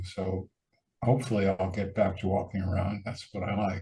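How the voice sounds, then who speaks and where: A man with a fairly low pitch, somewhat breathy and dark, mellow in tone, at a moderate pace with monotone, flat intonation. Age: 70s. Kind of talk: casual interview conversation.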